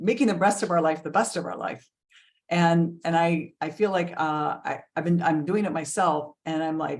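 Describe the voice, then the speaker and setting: A woman with a normal speaking voice and fairly low pitch talks at a moderate pace with ordinary pitch variation. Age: 60s. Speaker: health and wellness coach, co-host. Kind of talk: casual chat.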